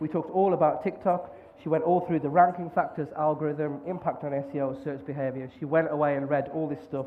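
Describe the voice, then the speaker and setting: The speaker has a Birmingham accent and talks at a very fast pace. Audible room echo fills the recording. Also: man. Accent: Birmingham-area English. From West Midlands, England (near Birmingham). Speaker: conference speaker, podcaster. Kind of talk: conference talk.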